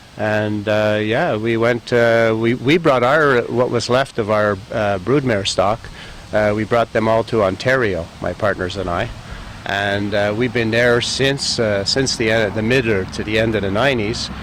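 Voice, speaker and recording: A man at a medium pitch with fairly even intonation and a fairly slow pace, over noticeable background noise. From Montreal, Quebec. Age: 60s. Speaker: business owner, golf course and horse farm owner. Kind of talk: interview. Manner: hesitant, many filler words.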